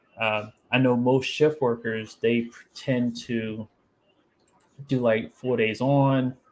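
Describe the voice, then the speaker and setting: A man speaks at a medium pitch and a very slow pace. His intonation stays fairly even. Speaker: livestream podcast host. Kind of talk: casual chat. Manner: low-key.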